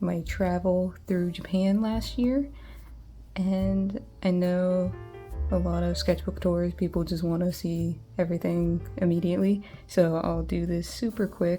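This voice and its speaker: A woman speaks rather slowly while music plays behind her. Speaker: artist. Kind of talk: casual talk to camera.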